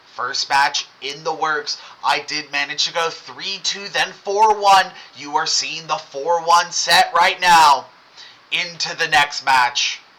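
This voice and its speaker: A high-pitched man speaks at a very slow pace with fairly even intonation. There is noticeable background noise. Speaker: gaming streamer. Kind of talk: live gameplay commentary.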